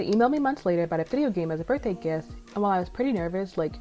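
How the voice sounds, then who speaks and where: Over music in the background, a woman at medium pitch talks at a very fast pace with lively intonation. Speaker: indie game developer and pixel artist. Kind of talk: casual devlog talk. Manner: sometimes mumbles or runs words together.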